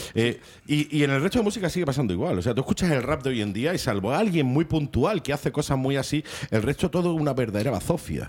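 A man with a fairly high voice talks at a very fast clip. His intonation is lively and his loudness stays very even. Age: 40s. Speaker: radio presenter. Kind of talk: casual radio chat.

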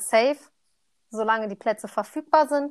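A woman talks at a moderate pace and a fairly high pitch, with ordinary pitch variation and an ordinary speaking voice. The recording is very clean, with a silent background. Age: 20s. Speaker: trainee primary teacher. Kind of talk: casual chat.

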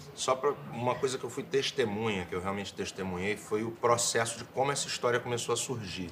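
At a very fast pace and with hardly any pauses, a man speaks in a medium-pitched voice with ordinary pitch variation over noticeable background noise. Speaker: actor. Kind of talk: testimony. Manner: halting, repeats words.

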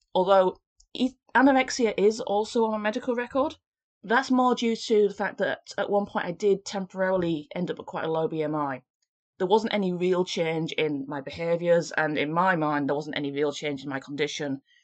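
A woman with a normal speaking voice talks at medium pitch and a moderate pace, her intonation lively. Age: 30s. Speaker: podcast host. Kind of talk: solo podcast monologue.

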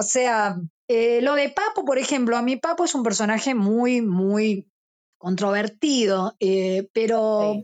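A woman with a Rioplatense accent speaks at a very slow pace, her loudness staying very even throughout. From Argentina, Buenos Aires suburbs. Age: 50s. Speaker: rock musician. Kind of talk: interview. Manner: talkative.

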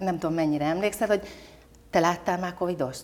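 A woman's fairly low-pitched voice comes through with noticeable background noise. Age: 50s. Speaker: business leader and women's leadership club president. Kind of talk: interview. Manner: animated.

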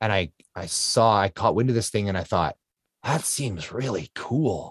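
A man speaks at a fairly slow pace with a Canadian accent, in an unremarkable speaking voice and a fairly low pitch. The recording is very clean, with a silent background and a dry, close sound with no echo. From Canada. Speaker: ultra-endurance athlete. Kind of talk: interview storytelling.

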